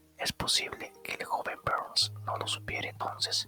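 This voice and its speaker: A whispered voice, delivered fairly slowly, comes through noticeable background noise. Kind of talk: audiobook reading for relaxation.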